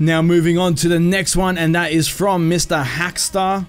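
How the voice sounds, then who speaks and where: A man's high-pitched voice in an Australian accent, at a moderate pace, with music in the background. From Australia, Melbourne. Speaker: gaming youtuber. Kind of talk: casual Q&A video. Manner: animated.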